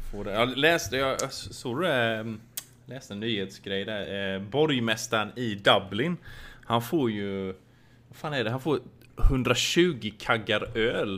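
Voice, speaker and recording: A man's medium-pitched, bright, sharp voice at a very slow pace, with ordinary pitch variation and big swings in loudness. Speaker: podcast co-host. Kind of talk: casual chat.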